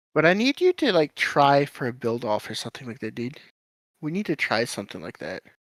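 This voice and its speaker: Quiet speech on a very clean recording with a silent background. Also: fairly quick pace. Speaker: gaming streamer. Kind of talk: casual chat.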